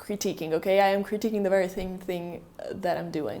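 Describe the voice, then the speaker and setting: A woman with a non-native accent speaks over noticeable background noise. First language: not English. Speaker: video essayist. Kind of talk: video essay narration.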